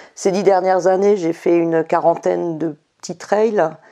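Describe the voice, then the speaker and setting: A woman speaks in a dark, mellow tone at a fairly low pitch. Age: 60s. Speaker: ultra-trail runner. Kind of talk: interview. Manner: hesitant.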